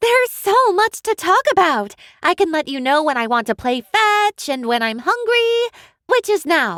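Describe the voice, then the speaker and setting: In a very clean recording with a silent background, a woman uses a put-on, squeaky character voice at an extremely high pitch, with very wide pitch swings and a moderate pace. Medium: read story. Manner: sassy, bossy.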